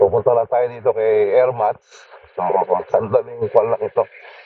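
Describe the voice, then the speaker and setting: A man's voice against noticeable background noise. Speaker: motovlogger. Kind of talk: casual vlog narration while riding. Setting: riding motorcycle outdoors, full face helmet.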